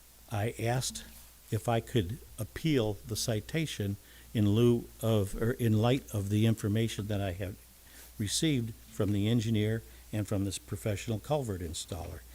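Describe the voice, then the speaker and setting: A man with an American accent speaks at a moderate pace in a fairly low, somewhat breathy voice. His tone is dark and mellow, with ordinary pitch variation. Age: 70s. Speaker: home builder. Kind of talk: public comment at city council meeting. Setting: city council meeting. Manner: halting.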